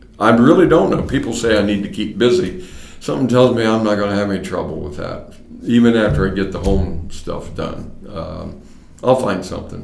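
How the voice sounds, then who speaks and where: A man with an American accent speaks at a fairly quick pace in a fairly low voice, his intonation lively over noticeable background noise. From US Midwest, Mason, Ohio. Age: 70s. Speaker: retiring county court clerk, former radio personality. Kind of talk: oral history interview.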